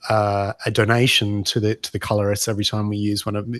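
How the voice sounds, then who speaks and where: A man with an Australian accent talks in a dry sound with no echo and a quiet background. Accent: Australian, unchanged. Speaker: pinball mod maker; podcast guest. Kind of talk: podcast interview. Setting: video call. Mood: enthusiastic, friendly. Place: home room. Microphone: video call.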